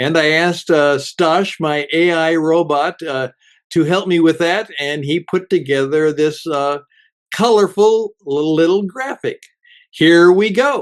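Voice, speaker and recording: Against a quiet background, a man with a high pitch talks fairly slowly with ordinary pitch variation, the sound dry and close with no echo. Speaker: radio host; teacher. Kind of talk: inspirational radio talk. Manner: gentle.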